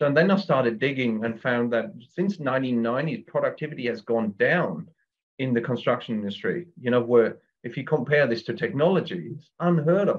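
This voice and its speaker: At a fairly quick pace, a man with a German accent speaks at a medium pitch. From Germany. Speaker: builder, construction business owner. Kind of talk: interview. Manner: hesitant, with many fillers.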